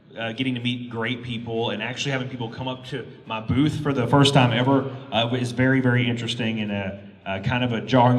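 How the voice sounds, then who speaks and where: With a Texan accent, a man speaks at a very fast pace amid noticeable background noise and audible room echo. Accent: Texan (Southern US). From Texas. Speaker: YouTuber. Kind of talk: convention panel talk. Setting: stage with audience. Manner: halting, many fillers.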